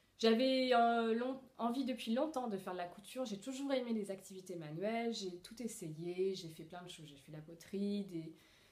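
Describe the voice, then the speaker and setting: A woman speaks at a medium pitch and a moderate pace with lively intonation. The room echo is audible. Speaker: sewing vlogger. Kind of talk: casual Q&A monologue. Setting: at home alone. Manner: hesitant, many fillers.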